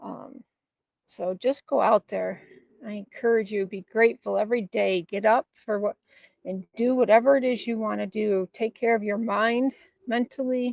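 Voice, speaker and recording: With fairly even intonation, a woman speaks in a plain, everyday voice at a fairly high pitch. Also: moderate pace. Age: 60s. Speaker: motivational vlogger. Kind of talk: casual motivational monologue, live stream. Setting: outdoors, walking.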